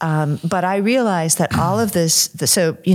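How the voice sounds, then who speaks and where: A woman with an unremarkable speaking voice, at a fairly low pitch and a moderate pace, with ordinary pitch variation. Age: 60s. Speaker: author and former English professor. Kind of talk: interview conversation. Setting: recorded at a conference.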